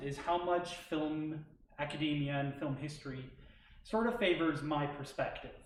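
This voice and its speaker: The room echo can be heard clearly. Through it comes a man's fairly high voice. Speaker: graduate film student presenter. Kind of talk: academic presentation. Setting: stage with audience, live streamed. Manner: halting.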